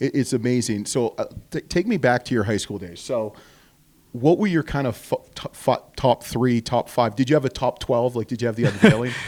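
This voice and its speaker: In a normal speaking voice, a man with a Canadian accent talks at a fairly quick pace and medium pitch, with ordinary pitch variation and a dry, close sound with no echo. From Canada. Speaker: podcast co-host. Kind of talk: casual interview chat.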